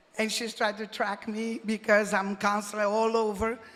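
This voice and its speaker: A woman with a non-native accent speaks at medium pitch with monotone, flat intonation. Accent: foreign. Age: 60s. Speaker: deputy mayor. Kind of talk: acceptance speech.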